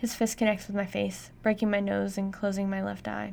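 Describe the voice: Simply plain reading aloud.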